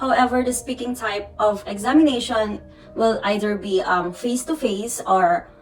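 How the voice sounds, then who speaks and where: At a moderate pace, a woman with a Filipino accent speaks at a fairly high pitch with lively intonation while music plays in the background. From Philippines. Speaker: nurse. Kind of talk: casual talk to camera.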